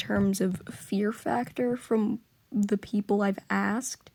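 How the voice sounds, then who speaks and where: Fairly high-pitched and somewhat breathy, a woman's voice carries a dark, mellow tone, ordinary pitch variation and a fairly slow pace. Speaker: voice actor. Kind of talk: casual talk to camera.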